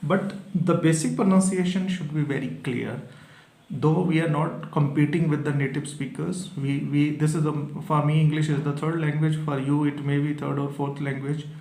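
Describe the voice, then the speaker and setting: A man with a Punjabi accent and a fairly high pitch speaks at a moderate pace with fairly even intonation, amid noticeable background noise and audible room echo. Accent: Indian (Punjabi) English. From Punjab, India. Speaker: English exam teacher. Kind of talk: tutorial. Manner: halting, with filler pauses.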